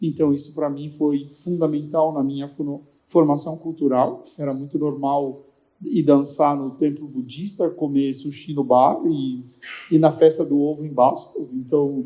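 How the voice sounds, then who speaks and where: Speaking at a fairly slow pace, a man with a fairly high pitch and a dark, mellow tone keeps his intonation monotone and flat. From Brazil, interior of São Paulo state. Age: 60s. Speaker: fashion designer. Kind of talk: panel discussion.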